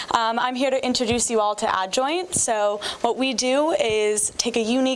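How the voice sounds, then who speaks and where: A woman's fairly high voice at a moderate pace, amid noticeable background noise. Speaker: startup business development representative. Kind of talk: startup pitch presentation. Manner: loud.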